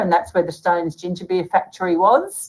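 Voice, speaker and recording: Speaking at a moderate pace with an Australian accent, a woman sounds cheerful and animated at a medium pitch. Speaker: author and bookseller. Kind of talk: casual chat. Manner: cheerful, animated, chatty.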